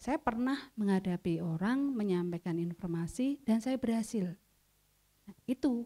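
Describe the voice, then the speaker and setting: The tone is dark and mellow, the intonation lively, and the pace moderate. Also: woman. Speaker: trainer. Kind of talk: training workshop. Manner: loud.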